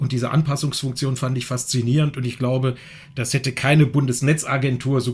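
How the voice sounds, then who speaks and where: Somewhat breathy and at a medium pitch, a man speaks in a flat, monotone way. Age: 50s. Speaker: political science professor. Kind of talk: panel discussion. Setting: remote call.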